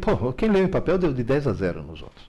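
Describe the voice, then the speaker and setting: A man talks at a moderate pace with a dark, mellow tone and vocal fry. His pitch swings very widely, and the room echo is audible. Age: 70s. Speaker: educator and author. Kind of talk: live Q&A lecture. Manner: animated.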